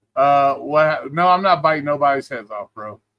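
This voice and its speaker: The sound is dry and close, with no echo. A man talks at a moderate pace in a bright, sharp tone. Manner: loud talker.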